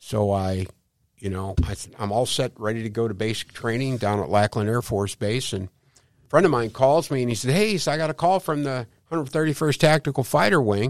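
With a Midwestern American accent, a man talks at a fairly quick pace. His intonation is lively, and the recording is very clean with a silent background. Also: medium pitch for a man. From St. Louis, Missouri. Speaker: Medicare insurance agent. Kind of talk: interview. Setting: studio.

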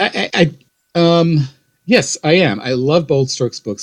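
A man with an Ohio accent speaks at a fairly slow pace with ordinary pitch variation in a dry, close sound with no echo. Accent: Midwestern American (Ohio). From Ohio, west side of Cleveland. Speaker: author. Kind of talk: interview.

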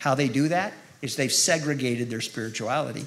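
A man with an American accent talks at a fairly quick pace in a plain, everyday voice. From California (Modesto). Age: 50s. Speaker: guest preacher. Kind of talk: sermon. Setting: church with live audience.

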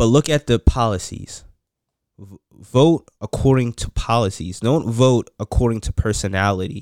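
In a very clean recording with a silent background and a dry, close sound with no echo, a man with an American accent and a medium pitch uses a plain, everyday voice at a moderate pace, with ordinary pitch variation and big swings in loudness. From West Virginia Eastern Panhandle, early years in New York. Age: 20s. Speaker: podcast guest, father of five. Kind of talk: casual chat.

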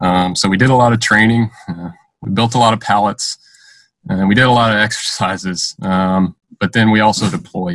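A man with an American accent uses a plain, everyday voice at a fairly low pitch and moderate pace. His pitch variation is ordinary, and the sound is dry and close with no echo. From US South, Georgia. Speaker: Air Force cyber superintendent. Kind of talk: casual interview.

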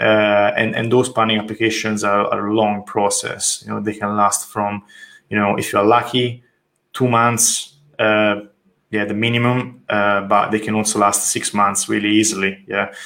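Monotone, flat intonation from a man with an Italian accent, fairly low in pitch with a bright, sharp tone. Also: moderate pace. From Italy, Tuscany. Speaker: architect. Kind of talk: interview. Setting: call.

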